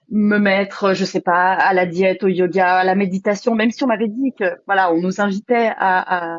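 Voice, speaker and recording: Her pitch medium and her intonation fairly even, a woman is speaking. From Switzerland, Geneva. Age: 20s. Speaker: retreat participant. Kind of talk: testimony. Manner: halting, many fillers.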